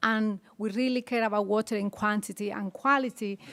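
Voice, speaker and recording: Someone with a Bolivian accent speaks at a moderate pace, their intonation fairly even. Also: woman. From rural Bolivia. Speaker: conservation worker with farmers. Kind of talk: panel presentation. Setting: conference panel with audience.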